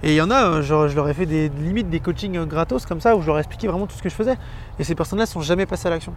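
The pitch moves with ordinary variation. The pace is very fast. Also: man. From Brittany, France. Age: 20s. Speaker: former police officer and property investor. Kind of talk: interview.

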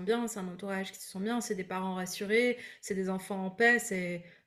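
A medium-pitched woman's voice stays monotone, with flat intonation. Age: 30s. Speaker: breathwork coach and entrepreneur. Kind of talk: casual interview. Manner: hesitant with fillers.

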